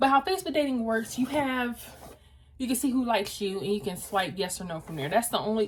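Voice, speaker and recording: The voice is loud and animated, with very wide pitch swings. It moves at a very fast pace. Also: woman. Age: 20s. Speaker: lifestyle vlogger. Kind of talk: casual chat. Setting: home video, styling wig on camera.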